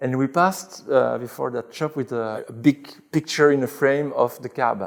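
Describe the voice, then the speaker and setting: With a French accent, a man speaks at a medium pitch and moderate pace, with ordinary pitch variation. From Belgium, Brussels. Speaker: convert telling his story. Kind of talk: interview testimony. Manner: halting, with fillers and repeats.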